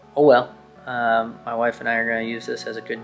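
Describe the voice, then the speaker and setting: A man is speaking. Clear music plays behind him. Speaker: car vlogger. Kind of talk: casual vlog chat. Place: home room. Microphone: phone near.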